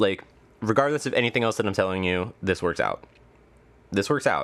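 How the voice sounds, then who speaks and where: His pitch rises and falls in an ordinary way. The man's tone is animated. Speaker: tarot reader. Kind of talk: tarot reading to camera. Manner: fast.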